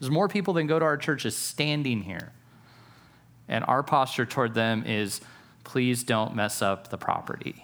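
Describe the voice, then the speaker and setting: A man at medium pitch, a plain, everyday voice with lively intonation at a moderate pace. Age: 40s. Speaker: pastor. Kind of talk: sermon.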